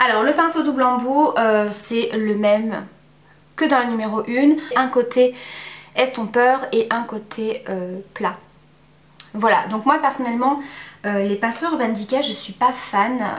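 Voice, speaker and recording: A woman's high-pitched voice at a very slow pace, with ordinary pitch variation, long, frequent pauses and noticeable background noise. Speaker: beauty vlogger. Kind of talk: product review. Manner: hesitant, many fillers.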